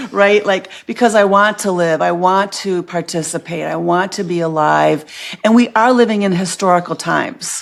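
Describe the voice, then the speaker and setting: Her pace is moderate and her pitch medium. A woman speaks with ordinary pitch variation. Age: 60s. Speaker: podcast guest, body empowerment speaker. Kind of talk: casual interview chat. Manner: halting, many fillers and restarts.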